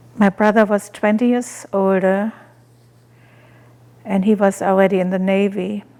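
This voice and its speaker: A woman with a German accent, medium in pitch with a dark, mellow tone, monotone and flat in intonation at a fairly slow pace. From Germany. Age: 80s+. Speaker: animal rights activist and author. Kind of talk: personal life story interview.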